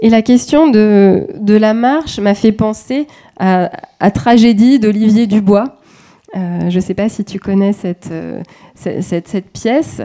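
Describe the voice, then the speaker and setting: A woman with a dark, mellow tone speaks very slowly. Her pitch varies in an ordinary way against a quiet background. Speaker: dance researcher. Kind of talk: academic presentation. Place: hall.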